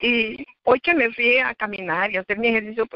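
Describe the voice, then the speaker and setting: Speaking at a moderate pace, a woman with a fairly high pitch and ordinary pitch variation shows vocal fry. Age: 60s. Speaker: church member giving testimony. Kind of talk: testimony.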